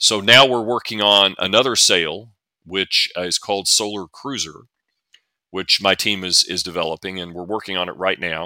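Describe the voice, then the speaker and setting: A man with a Southern US accent talks at a moderate pace, his fairly low voice carrying a bright, sharp tone and fairly even intonation. The recording is very clean, with a silent background and a dry, close sound with no echo. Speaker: NASA physicist and author. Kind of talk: casual interview.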